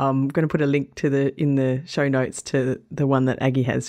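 Her pitch is very deep and low, with a dark, mellow tone. This woman speaks with monotone, flat intonation. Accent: Australian. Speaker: travel podcast host and blogger. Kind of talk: podcast narration between interviews.

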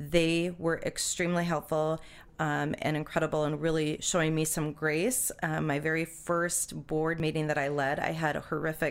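On a very clean recording with a silent background, a woman with a very deep, low pitch speaks at a moderate pace in a monotone, flat intonation. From North Dakota, Minot. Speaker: city mayor. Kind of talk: interview. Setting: studio. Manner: halting with many fillers.

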